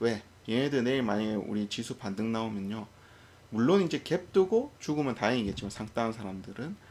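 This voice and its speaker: Speaking at a moderate pace, this voice has very wide pitch swings. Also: man. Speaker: stock market commentator. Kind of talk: unscripted market commentary. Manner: stumbling over words; hesitant, many fillers.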